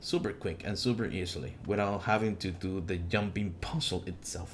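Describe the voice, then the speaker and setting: A man speaks at a moderate pace. His voice is fairly low and somewhat breathy. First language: not English. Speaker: gaming YouTuber. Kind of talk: tutorial. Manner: halting, many fillers and restarts.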